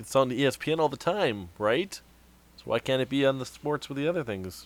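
In an ordinary speaking voice, a man at a medium pitch uses lively intonation at a moderate pace. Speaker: podcast host. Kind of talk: casual banter, wrestling talk.

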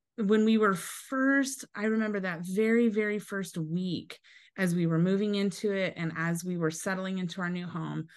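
In an American accent, a woman with an ordinary speaking voice talks at a medium pitch with ordinary pitch variation against a quiet background. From US Pacific Northwest (Eastern Washington). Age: 40s. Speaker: pastor's wife. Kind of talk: testimony.

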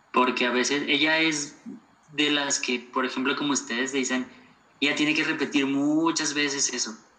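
Monotone, flat intonation carries a man's fairly high voice along at a moderate pace. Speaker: podcast guest, university graduate. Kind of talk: casual interview.

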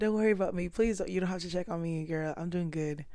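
A woman speaks in a fairly low, dark, mellow voice. Her intonation stays fairly even. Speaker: podcast host. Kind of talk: casual chat.

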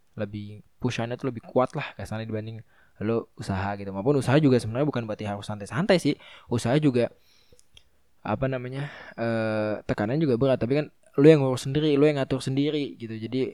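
Speaking at a very fast pace, a man has a medium pitch. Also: ordinary pitch variation. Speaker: podcast host. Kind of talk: casual monologue. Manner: casual, halting with fillers.

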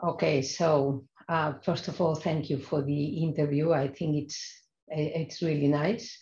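A woman's very deep, low voice in a Spanish accent, dark and mellow in tone, somewhat breathy, with fairly even intonation. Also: very even loudness. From Spain, Barcelona (raised partly in Madrid). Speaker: hematologist and stem cell transplant physician. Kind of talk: interview conversation. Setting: remote call. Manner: hesitant, with frequent fillers.

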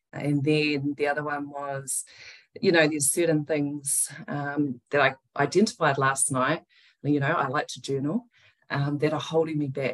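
A woman with a New Zealand accent speaks at a fairly slow pace, with a very deep, low pitch and fairly even intonation. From New Zealand, Wellington. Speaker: breathwork business founder. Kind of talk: interview.

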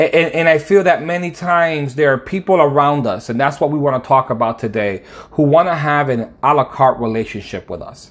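A man with an American accent and a normal speaking voice talks at a fairly quick pace, his fairly high pitch showing ordinary variation. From Connecticut, US East Coast. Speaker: podcast host, faith teacher. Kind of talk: devotional podcast monologue.

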